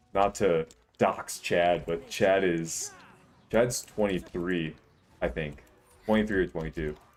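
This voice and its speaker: Over noticeable background noise, a man with a very deep, low voice speaks at a fairly slow pace, using ordinary pitch variation and long, frequent pauses. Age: 20s. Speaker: gaming streamer. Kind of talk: casual livestream chat. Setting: livestream. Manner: casual, rambling with fillers.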